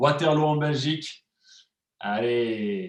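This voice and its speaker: A man's fairly high-pitched voice. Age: 30s. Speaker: wellness and nutrition coach. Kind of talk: live cooking class stream. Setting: online live stream with chat. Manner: animated, hesitant with many fillers.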